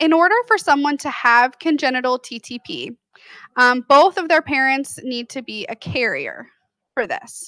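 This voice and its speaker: A woman with a high pitch and a bright, sharp tone speaks at a fairly slow pace with ordinary pitch variation, recorded dry and close with no echo. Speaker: genetic counselor. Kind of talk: lecture. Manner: soft-spoken.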